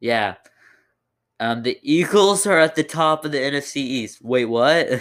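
Here a man speaks at a medium pitch. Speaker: football podcaster. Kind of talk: casual solo podcast commentary.

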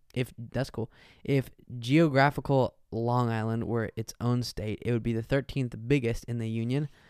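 In a very clean recording with a silent background and a dry, close sound with no echo, a man talks at a moderate pace in a plain, everyday voice of medium pitch with ordinary pitch variation. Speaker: comedy podcast co-host. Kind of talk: casual chat.

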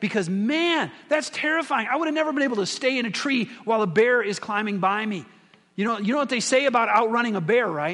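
A man with an American accent talks very fast with lively intonation. Audible room echo surrounds his voice. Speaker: pastor. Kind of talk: sermon. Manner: conversational.

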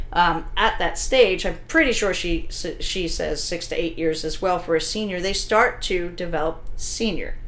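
Noticeable background noise sits behind a woman speaking at a moderate pace in an American accent. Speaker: dog trainer and podcast host. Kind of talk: casual podcast chat. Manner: loud, blunt.

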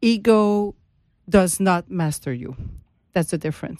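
In a Quebec accent, a woman speaks at medium pitch and a fairly slow pace with ordinary pitch variation, her voice dry and close with no echo on a very clean recording with a silent background. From Quebec, Montreal. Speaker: HR consultant and author. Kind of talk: interview. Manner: halting.

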